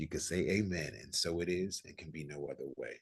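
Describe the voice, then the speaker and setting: Very deep and low, a man's voice moves with ordinary pitch variation. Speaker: host of an online session. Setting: video call.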